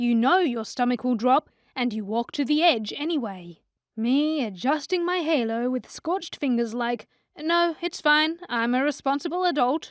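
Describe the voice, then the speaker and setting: A woman with a high pitch speaks at a moderate pace with lively intonation. The recording is very clean, with a silent background. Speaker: voice actor. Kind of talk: comedic animated book recap narration. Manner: dramatic, sassy, upbeat.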